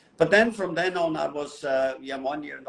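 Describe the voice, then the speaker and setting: Noticeable background noise sits behind a man speaking. His pace is moderate and his pitch varies in an ordinary way. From Switzerland, mountains. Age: 70s. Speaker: photographer. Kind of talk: interview storytelling.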